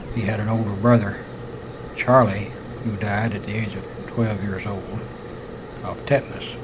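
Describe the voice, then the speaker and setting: With audible room echo and noticeable background noise, a man with an American accent speaks at a moderate pace in a medium pitch with monotone, flat intonation. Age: 50s. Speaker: war veteran telling life story. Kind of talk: autobiographical monologue recorded on tape. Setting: hospital room.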